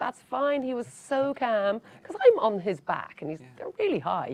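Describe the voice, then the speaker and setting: A woman speaks with a Dublin accent. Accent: Irish, Dublin. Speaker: actor. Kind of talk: interview answer.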